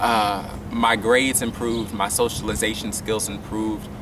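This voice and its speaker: Audible room echo surrounds a man's voice. He speaks at a fairly low pitch and a fairly slow pace. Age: young. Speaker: violinist and incoming college student. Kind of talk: interview. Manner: hesitant with many fillers.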